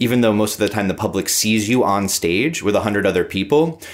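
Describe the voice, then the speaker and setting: On a very clean recording with a silent background, a man with a plain, everyday voice talks at a fairly quick pace with a fairly low pitch and ordinary pitch variation. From New York area. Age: 30s. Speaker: orchestra conductor. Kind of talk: interview.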